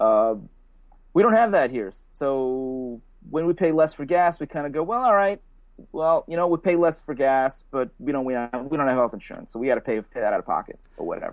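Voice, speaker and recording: With a normal speaking voice, a man talks fairly quickly, his pitch fairly high and his intonation lively. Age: 40s. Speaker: painter. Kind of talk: casual chat. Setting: video call.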